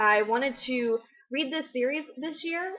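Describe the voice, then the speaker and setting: Her pace fairly slow, a woman speaks with pitch that varies in an ordinary way. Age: 20s. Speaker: book vlogger. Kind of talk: casual vlog. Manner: loud; animated.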